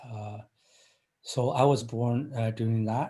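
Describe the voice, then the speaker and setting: Somewhat breathy and dark, mellow in tone, a man speaks at a medium pitch in a monotone, flat delivery. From China. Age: 50s. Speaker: engineering professor. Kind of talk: interview. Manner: halting, many fillers.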